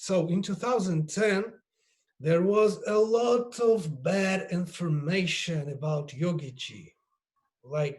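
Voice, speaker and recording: Pitched high, a man speaks at a very slow pace with ordinary pitch variation. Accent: Russian. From Russia. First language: Russian. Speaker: yoga teacher. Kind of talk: panel discussion. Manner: halting.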